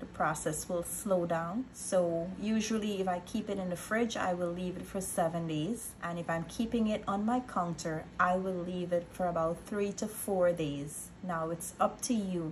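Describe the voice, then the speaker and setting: A woman with a plain, everyday voice speaks at a moderate pace with fairly even intonation and a fairly low pitch, hardly pausing, over light background noise. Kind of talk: tutorial. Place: kitchen. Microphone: phone near.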